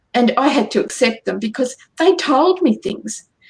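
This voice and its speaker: A woman with an Australian accent. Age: 60s. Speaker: angel channeler and healer. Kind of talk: radio interview. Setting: radio show.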